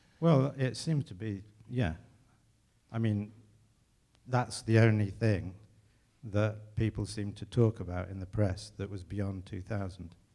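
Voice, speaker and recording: A dark, mellow tone in an English accent, fairly slow with long, frequent pauses, ordinary pitch variation and big swings in loudness. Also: man, fairly low pitch for a man. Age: 50s. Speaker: composer. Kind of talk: public conversation on stage. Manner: halting.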